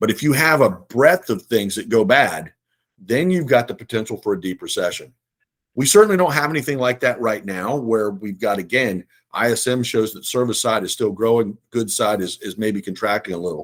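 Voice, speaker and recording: Very clean recording with a silent background, a man at medium pitch speaking at a fairly quick pace with lively intonation. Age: 60s. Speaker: investment firm CEO. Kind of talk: casual chat. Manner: conversational, hesitant fillers.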